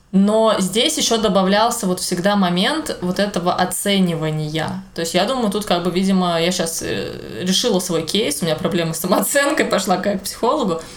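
A woman with a medium pitch talks at a moderate pace with hardly any pauses and ordinary pitch variation, over noticeable background noise. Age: 20s. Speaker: podcast co-host, illustrator and teacher. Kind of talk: casual chat. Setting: home kitchen.

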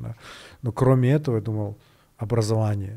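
A man with an unremarkable speaking voice talks at a moderate pace. His pitch is medium, with fairly even intonation. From Kyrgyzstan, Bishkek. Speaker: tech startup founder. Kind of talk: interview.

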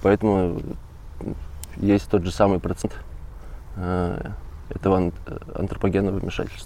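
Amid noticeable background noise, a man speaks fairly slowly in a flat monotone, with long, frequent pauses. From Russian Far East, Magadan region. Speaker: volunteer ornithology field assistant. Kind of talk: casual interview. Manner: hesitant, many fillers.

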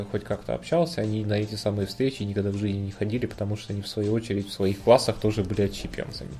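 Someone speaks at a very fast pace with ordinary pitch variation amid noticeable background noise. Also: man. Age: 30s. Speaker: podcast co-host. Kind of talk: casual chat. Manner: quiet. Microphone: quiet microphone.

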